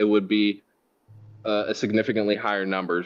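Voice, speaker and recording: A man's fairly low-pitched voice. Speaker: IT manager presenting to board. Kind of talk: board meeting presentation. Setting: board meeting. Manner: fast.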